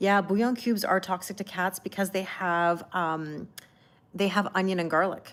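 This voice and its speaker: In a very clean recording with a silent background, a woman with a Canadian accent speaks at a moderate pace in an ordinary speaking voice, medium in pitch and fairly even in intonation. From Canada. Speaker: tarot reader. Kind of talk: live-stream chat with tarot reading. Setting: live stream. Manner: casual, chatty.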